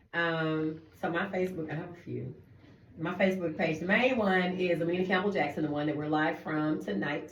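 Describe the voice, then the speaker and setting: A woman's fairly low voice at a moderate pace, with ordinary pitch variation, audible room echo and noticeable background noise. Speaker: radio co-host, nonprofit founder. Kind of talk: casual radio chat. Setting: radio studio, streamed live.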